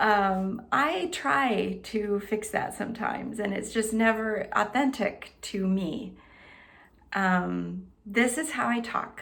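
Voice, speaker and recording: A quiet voice at a very slow pace with ordinary pitch variation and audible room echo. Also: woman, fairly high pitch for a woman. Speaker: health and wellness coach. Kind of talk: self-introduction to camera. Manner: pauses, lets there be quiet.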